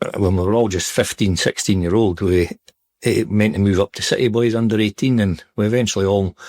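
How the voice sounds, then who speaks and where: Speaking in a Scottish accent, a man talks. He keeps a fairly quick pace. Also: fairly even intonation, dry, close sound with no echo. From Scotland, Perthshire. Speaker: retired footballer. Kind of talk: interview. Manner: hesitant, filler-heavy.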